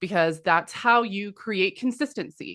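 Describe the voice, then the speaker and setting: At a moderate pace, a woman talks in a normal speaking voice at medium pitch against a quiet background. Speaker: business consultant. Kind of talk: webinar presentation.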